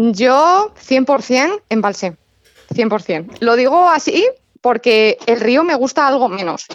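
The speaker's pitch swings very widely. The pace is very slow. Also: woman, high pitch for a woman. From central Spain, Madrid near Toledo. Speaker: carp angler. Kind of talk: radio interview.

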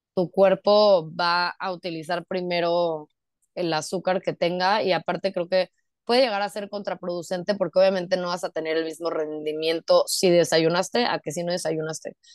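At a moderate pace, a woman with a plain, everyday voice and fairly low pitch speaks with fairly even intonation, the sound dry and close with no echo over a quiet background. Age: 20s. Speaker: lawyer and amateur runner. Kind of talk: casual interview chat.

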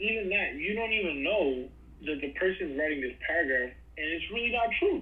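With a New York accent, a man talks at a fairly quick pace in a high voice with very wide pitch swings, amid audible room echo and noticeable background noise. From Brooklyn, New York. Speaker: podcast host, guest. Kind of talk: casual interview chat. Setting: video call.

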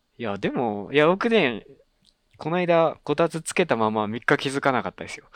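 A man's fairly high-pitched voice at a moderate pace, with very wide pitch swings, big swings in loudness and a quiet background. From Japan, Kagawa. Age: 20s. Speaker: podcast host. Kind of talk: casual chat.

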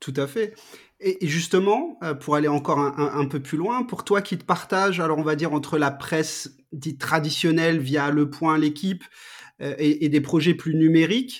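This man has a fairly high pitch and ordinary pitch variation. He talks at a moderate pace. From France, Strasbourg (Alsace). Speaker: podcast host. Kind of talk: casual interview. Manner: hesitant, many repetitions.

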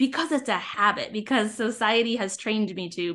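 With an unremarkable speaking voice, a woman talks at a fairly quick pace against a quiet background. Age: 30s. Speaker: digital organizer, former teacher. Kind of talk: casual interview.

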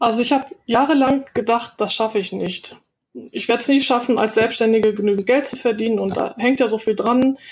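It is an ordinary speaking voice with fairly even intonation, moving at a fairly quick pace. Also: woman, fairly high pitch for a woman. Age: 50s. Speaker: virtual assistant, former translator. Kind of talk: interview.

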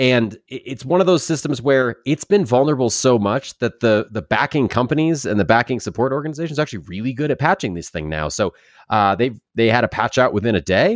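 A man with a normal speaking voice talks at a fairly quick pace with lively intonation and hardly any pauses, his pitch medium. The recording is very clean with a silent background and a dry, close sound with no echo. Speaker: podcast host, warrant officer.

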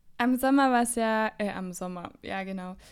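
A woman's fairly high-pitched voice with fairly even intonation, music playing in the background. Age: 20s. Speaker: podcast co-host. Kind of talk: casual chat.

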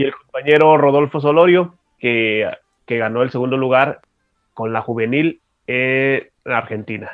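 Speaking at a fairly slow pace, a man with a medium pitch and ordinary pitch variation has a plain, everyday voice. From Mexico, Tijuana, Baja California. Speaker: special education adviser and adapted sports expert. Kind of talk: radio interview. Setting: radio studio.

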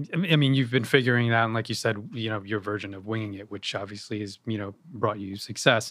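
Hardly pausing, a man with a fairly low pitch speaks at a very fast pace with fairly even intonation. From New York (Yonkers). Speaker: podcast host. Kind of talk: interview. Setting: guest's venue.

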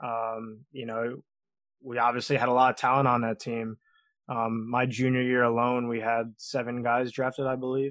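A man with a New York accent speaks at a moderate pace in a medium pitch, his intonation monotone and flat, against a quiet background. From Long Island, New York. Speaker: professional baseball pitcher. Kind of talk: casual interview.

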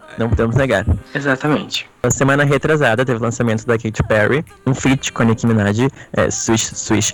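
Over noticeable background noise, a man speaks at a medium pitch with very even loudness and fairly even intonation. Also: moderate pace. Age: 20s. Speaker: pop culture podcaster. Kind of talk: casual chat.

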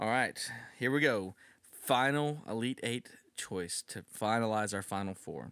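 In a very clean recording with a silent background, a man talks at a fairly slow pace in a normal speaking voice with ordinary pitch variation. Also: medium pitch for a man. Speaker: podcast co-host. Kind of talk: casual chat; mock boxing ring announcer intro. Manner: jokey, laughs often.

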